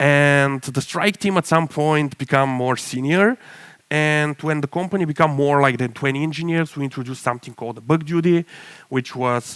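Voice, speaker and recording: Dry and close with no echo, a man's fairly high voice shows ordinary pitch variation. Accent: Bulgarian. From Bulgaria. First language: Bulgarian. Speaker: tech startup CTO, conference speaker. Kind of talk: conference talk.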